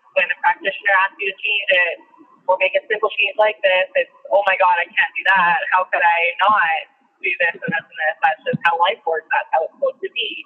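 The woman talks at a fairly quick pace. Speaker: podcast co-host. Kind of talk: casual chat.

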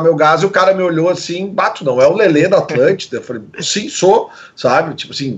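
Here a man talks at a moderate pace with a high pitch. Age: 40s. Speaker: radio presenter. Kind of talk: casual chat.

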